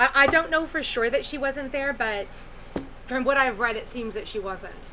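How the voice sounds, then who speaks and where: A woman speaks loudly in a high pitch with ordinary pitch variation, over noticeable background noise. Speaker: tarot reader. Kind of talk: tarot reading monologue. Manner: hesitant, many fillers. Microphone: poor microphone.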